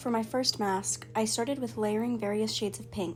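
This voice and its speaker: Over music in the background, a woman talks at a moderate pace and medium pitch, her pitch swinging very widely. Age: young. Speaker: makeup artist. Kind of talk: reflective voiceover narration.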